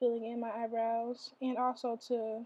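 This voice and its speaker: Speaking with an American accent, a woman uses a fairly high pitch, moderate pace and monotone, flat intonation. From Michigan, USA. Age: young. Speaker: college student, beauty vlogger. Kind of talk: casual get-ready-with-me tutorial talk.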